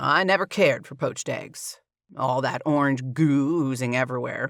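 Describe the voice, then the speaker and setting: A man puts on a gruff, rumbling character voice at a fairly high pitch. He speaks at a moderate pace in a very clean recording with a silent background. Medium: read story. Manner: gruff, grumbling.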